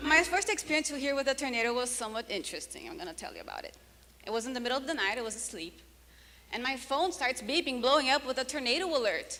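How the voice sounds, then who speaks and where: The voice is raised and projected, racing at a very fast pace with lively intonation and big swings in loudness. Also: woman, high pitch for a woman. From Brazil. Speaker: comedian. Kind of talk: stand-up.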